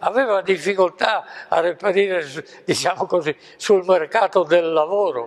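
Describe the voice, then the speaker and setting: A man's high voice at a fairly slow pace, with ordinary pitch variation and a quiet background. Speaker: professor emeritus, mathematician; professor recounting history. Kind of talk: lecture. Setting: stage with audience. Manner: halting. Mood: calm, reflective storytelling. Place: home room. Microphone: lapel.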